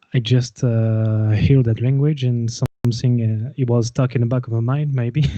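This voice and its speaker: In a French accent, a man delivers dark, mellow, flat monotone speech at a moderate pace with very even loudness. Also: medium pitch for a man. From France, Gascony. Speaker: folk metal musician and winemaker. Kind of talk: casual interview chat. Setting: live video call. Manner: halting, many fillers.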